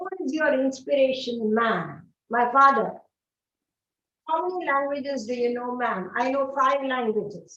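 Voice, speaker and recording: A woman's high, raised and projected voice in a Telugu accent, at a moderate pace with audible room echo. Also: ordinary pitch variation. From South India, Andhra Pradesh. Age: 50s. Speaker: English teacher. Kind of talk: online class Q&A. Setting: studio.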